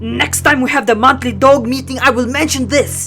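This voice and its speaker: A woman in a cartoonish character voice at a high pitch, with faint music in the background. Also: moderate pace. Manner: stern, scolding.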